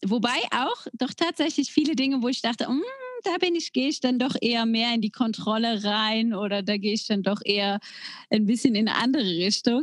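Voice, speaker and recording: An ordinary speaking voice from a woman, fairly high in pitch and fairly quick, with ordinary pitch variation. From Germany, near the Belgian border. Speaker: podcast co-host. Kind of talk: casual chat.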